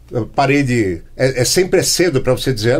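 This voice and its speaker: A man speaks at a moderate pace and medium pitch in a somewhat breathy voice. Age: 60s. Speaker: podcast host. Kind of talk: casual chat. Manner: halting.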